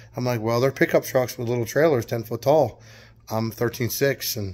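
A moderate pace from a male speaker. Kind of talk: casual vlog chat. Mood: relaxed, amused. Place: garage. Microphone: phone near.

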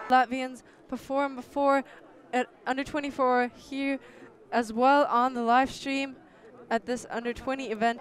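Over noticeable background noise, a woman with a high pitch speaks fairly slowly in a raised, projected voice. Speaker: sports commentator. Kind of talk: live sports commentary.

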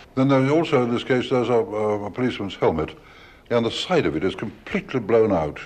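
A man talking at a very fast pace with very wide pitch swings. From British. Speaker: radio broadcaster. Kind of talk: radio documentary presenting. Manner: old-school. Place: hall. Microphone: old recording.

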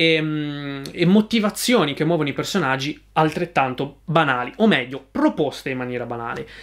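A man with a fairly high pitch talks at a moderate pace with lively intonation and hardly any pauses, against a quiet background. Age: 20s. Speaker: YouTube film reviewer. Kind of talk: film review monologue. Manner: hesitant, many fillers and repetitions. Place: home room.

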